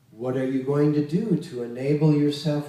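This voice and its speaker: Noticeable background noise sits under a man talking at a moderate pace in a fairly high voice. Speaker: Kundalini yoga teacher. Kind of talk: spiritual lecture.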